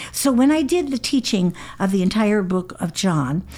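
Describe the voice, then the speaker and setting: A woman speaks in a dark, mellow tone with lively intonation. The recording is very clean, the background silent. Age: 70s. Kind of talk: recorded teaching lesson.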